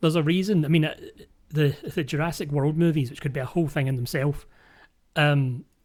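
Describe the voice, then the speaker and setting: Recorded very cleanly against a silent background, a man with a Scottish accent speaks at a fairly high pitch and a fairly quick pace with fairly even intonation. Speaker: podcast host. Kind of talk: casual chat.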